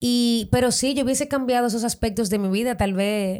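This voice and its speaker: The recording is very clean and the background silent. A woman speaks at a fairly quick pace. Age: 30s. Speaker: model. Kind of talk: interview. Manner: animated.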